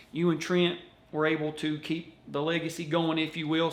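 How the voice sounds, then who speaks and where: A man speaks with a Kentucky accent at a moderate pace. His pitch is high. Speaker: wrestling video host. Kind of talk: casual interview.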